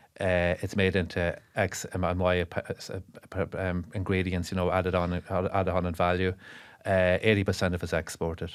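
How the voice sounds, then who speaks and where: In an Irish accent, a man with a very deep, low pitch speaks at a moderate pace with monotone, flat intonation on a very clean recording with a silent background. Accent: Monaghan Irish. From Ireland, south Monaghan. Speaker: brewer and dairy farmer. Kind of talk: podcast interview. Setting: studio. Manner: hesitant, many fillers and repeats.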